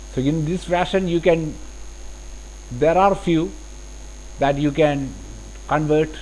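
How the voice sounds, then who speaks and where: A man with a Keralan accent at a fairly slow pace. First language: Malayalam. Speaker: CAD software instructor. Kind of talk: tutorial. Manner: halting.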